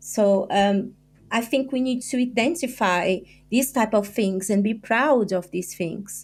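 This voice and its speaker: Fairly high-pitched female voice in a Brazilian accent, fairly slow in pace with ordinary pitch variation, music playing in the background. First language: Portuguese. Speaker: journalist and author. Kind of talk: podcast interview. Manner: halting.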